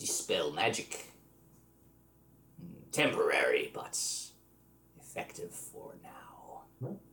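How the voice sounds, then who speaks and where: In a put-on character voice, the speaker sounds raspy, with extremely high pitch and a very slow pace. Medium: actual play.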